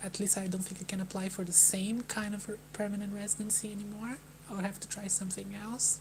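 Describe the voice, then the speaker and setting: Over noticeable background noise, a soft-spoken woman with a Brazilian accent talks at a very fast pace in a medium, monotone voice with flat intonation. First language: Portuguese. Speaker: vlogger. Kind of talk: live stream talk. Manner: halting.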